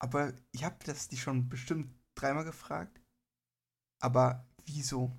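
A somewhat breathy man speaks at medium pitch and a fairly slow pace, leaving long, frequent pauses. His intonation is fairly even, and the recording is very clean with a silent background. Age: 20s. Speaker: podcast co-host. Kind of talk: casual chat.

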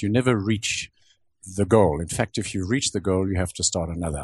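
Recorded dry and close with no echo against a quiet background, a man speaks in a somewhat breathy voice. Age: 70s. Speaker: automotive sculptor. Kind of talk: interview.

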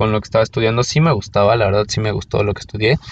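A man with a Mexico City accent speaks with fairly even intonation. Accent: Mexican Spanish (Mexico City). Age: 30s. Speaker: podcast host. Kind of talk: personal monologue. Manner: casual, with many fillers.

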